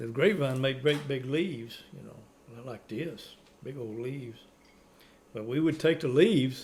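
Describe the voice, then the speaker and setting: In a Cajun accent, a man talks at a fairly slow pace. His voice is somewhat breathy, medium in pitch, with ordinary pitch variation. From Louisiana, Cajun community. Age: 70s. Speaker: elderly Cajun storyteller. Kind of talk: casual chat.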